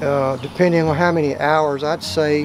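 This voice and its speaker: Over music in the background, a man with an American accent speaks at a fairly high pitch. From South Texas. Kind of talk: cooking instructions.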